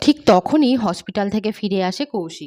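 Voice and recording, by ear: A woman with lively intonation on a very clean recording against a silent background. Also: slightly mellow tone.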